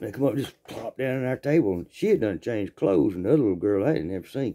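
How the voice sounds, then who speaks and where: A man talks at a very fast pace with a strong Southern US accent and a medium pitch. His intonation is lively and his tone is animated. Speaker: storyteller. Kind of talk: storytelling. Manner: animated, folksy; halting, repetitive.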